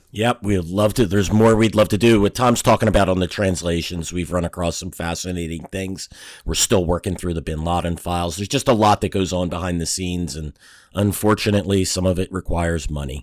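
A man with a very deep, low pitch talks at a fairly quick pace with ordinary pitch variation, in a very clean recording with a silent background. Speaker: co-host, analyst. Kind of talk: casual chat.

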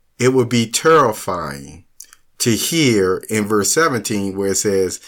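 A man's fairly low voice, slow in pace, with lively intonation

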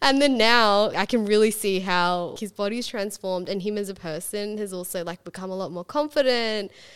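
Recorded very cleanly against a silent background, a woman with an Australian accent speaks at medium pitch with ordinary pitch variation and hardly any pauses. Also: moderate pace. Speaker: podcast host. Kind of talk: casual interview.

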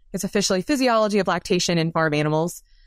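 In a very clean recording with a silent background and a dry, close sound with no echo, a woman with an American accent uses a normal speaking voice at medium pitch with ordinary pitch variation. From US South, South Carolina. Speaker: dairy science professor. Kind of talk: interview.

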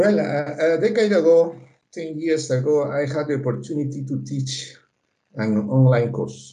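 With a Spanish accent, a man speaks at a moderate pace in a dark, mellow tone. His pitch is fairly high with ordinary variation, and audible room echo surrounds him. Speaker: political science professor. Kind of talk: interview. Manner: halting, many fillers.

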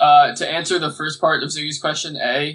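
Moderate pace and a fairly high pitch from a man speaking. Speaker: podcast co-host. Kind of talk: casual interview chat.

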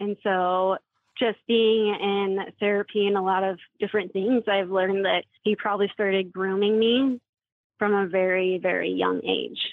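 A woman with an American accent speaks at a moderate pace and medium pitch. Her intonation is monotone and flat, her loudness very even. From Washington State. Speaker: abuse survivor. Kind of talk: testimony.

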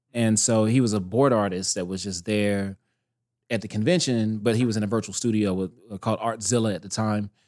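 A man with an American accent talks at a fairly quick pace at medium pitch, an ordinary speaking voice, in a very clean recording with a silent background. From US South, North Carolina. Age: 30s. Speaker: animation director. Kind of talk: casual chat.

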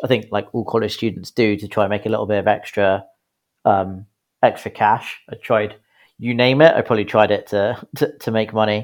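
A man with a British accent speaks at a moderate pace in a fairly low voice. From UK. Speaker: business founder and CEO. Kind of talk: interview. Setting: remote recording.

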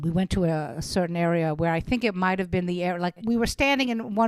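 A woman with a Brooklyn accent talks at a very fast pace and a fairly low pitch. Her tone is animated, with ordinary pitch variation. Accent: Brooklyn New York. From Brooklyn, New York. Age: 60s. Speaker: stand-up comedian. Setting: video call.

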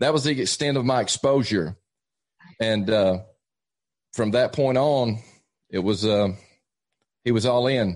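With an Appalachian accent, a man speaks at a fairly slow pace and medium pitch, with ordinary pitch variation, very even loudness and long, frequent pauses. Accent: Southern US (Appalachian). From East Tennessee, US. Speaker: evangelist. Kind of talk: casual interview, testimony.

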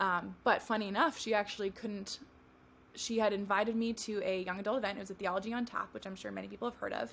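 This woman speaks at a very fast pace. Her medium-pitched voice keeps fairly even intonation. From California. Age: 20s. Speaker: wedding photographer. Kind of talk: casual interview chat.

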